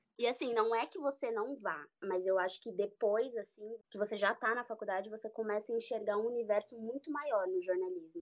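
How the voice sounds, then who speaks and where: Here is a woman with a plain, everyday voice at a fairly high pitch, her intonation lively. She talks at a fairly quick pace with hardly any pauses. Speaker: journalist, beauty and health reporter. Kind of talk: casual chat.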